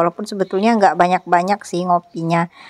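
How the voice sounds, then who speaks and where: Recorded dry and close without any echo, a woman speaks in a fairly low pitch with monotone, flat intonation. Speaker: housewife vlogger. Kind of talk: vlog narration. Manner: casual, chatty.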